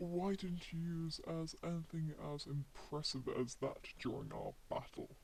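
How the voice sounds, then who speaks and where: Using a put-on character voice, a man talks at a high pitch and moderate pace. Clear background noise can be heard. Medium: audio drama. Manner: cool, dry, understated.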